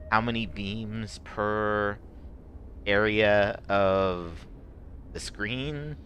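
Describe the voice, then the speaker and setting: A man with a fairly low pitch speaks at a very slow pace, with long, frequent pauses. His pitch variation is ordinary, and audible room echo is present. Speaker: video game streamer. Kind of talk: gameplay stream commentary. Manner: halting, many fillers; effortful speaking.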